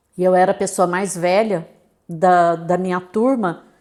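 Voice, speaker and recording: A woman is speaking. Her pace is fairly slow. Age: 60s. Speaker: business owner and consultant. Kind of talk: interview conversation.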